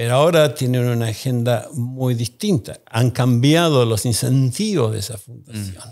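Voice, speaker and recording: A man's fairly slow speech, with ordinary pitch variation, is heard against a quiet background. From Argentina. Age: 60s. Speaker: economist and think tank founder; podcast guest. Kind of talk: interview. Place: studio. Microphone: studio mic.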